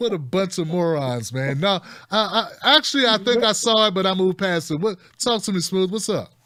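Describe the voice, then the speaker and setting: A man speaks in a raised, projected voice, high-pitched for a man, with a bright, sharp tone. His intonation is lively and his pace fairly quick. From San Francisco Bay Area. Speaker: talk show host. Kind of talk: call-in show. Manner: casual.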